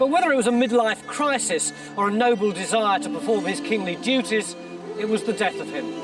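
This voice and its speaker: Music plays behind a man with a high voice. His intonation is lively. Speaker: documentary presenter. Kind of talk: historical documentary narration.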